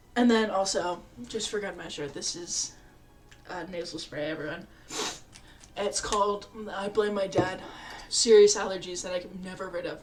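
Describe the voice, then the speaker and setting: Moderately paced speech with big swings in loudness, audible room echo, and music in the background. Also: woman, medium pitch for a woman. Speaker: streamer. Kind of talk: casual chat. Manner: animated.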